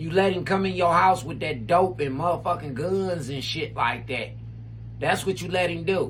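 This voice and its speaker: Animated speech from a man at a moderate pace, with audible room echo and noticeable background noise. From Cleveland, Ohio. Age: 40s. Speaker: streamer and commentator. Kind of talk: heated rant. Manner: loud, animated.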